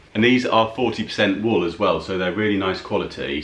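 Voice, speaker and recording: A man speaks with ordinary pitch variation, and audible room echo surrounds his voice. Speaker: haul vlogger. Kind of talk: casual vlog chat. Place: home room.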